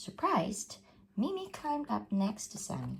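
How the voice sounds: This woman speaks slowly at a medium pitch, with vocal fry. Her pitch swings very widely.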